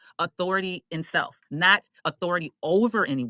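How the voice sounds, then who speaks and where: A woman talks with an animated, bright, sharp tone at a fairly low pitch. The sound is dry and close, with no echo. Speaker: astrologer. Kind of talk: casual teaching monologue.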